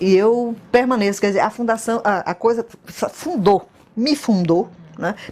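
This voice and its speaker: Fairly slow speech with ordinary pitch variation over noticeable background noise. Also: woman, fairly high pitch for a woman. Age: 60s. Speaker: former student. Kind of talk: interview testimony.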